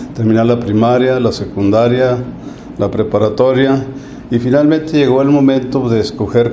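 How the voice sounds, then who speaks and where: With a northern Mexican accent, a man at medium pitch speaks in fairly even intonation over noticeable background noise and audible room echo. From northern Mexico, Chihuahua. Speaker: retired accountant and university alumnus. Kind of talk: interview.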